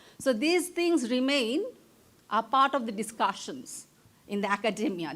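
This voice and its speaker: In a very clean recording with a silent background, a woman with a Bengali accent speaks at a moderate pace with lively intonation. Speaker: professor, keynote speaker. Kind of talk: conference keynote lecture. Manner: stammers on long words.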